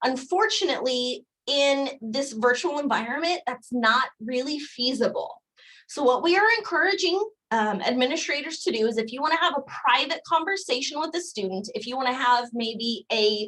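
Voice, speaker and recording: High-pitched and bright with a sharp tone, a woman speaks with lively intonation. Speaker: career services staff presenter. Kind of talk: live webinar presentation. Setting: video call. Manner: fast.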